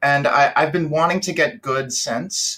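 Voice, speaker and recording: Speaking at a moderate pace, a man with an American accent uses a fairly high pitch and ordinary pitch variation. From Georgia, US South. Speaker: caller. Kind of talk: casual chat.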